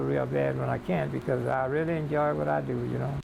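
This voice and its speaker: A man talks at a fairly quick pace. Noticeable background noise sits behind him. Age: 80s+. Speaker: shoe repairman. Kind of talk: interview.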